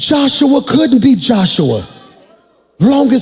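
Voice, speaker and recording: An animated tone at a fairly slow pace, with ordinary pitch variation and audible room echo. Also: man. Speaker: pastor. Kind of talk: sermon. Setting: church with congregation.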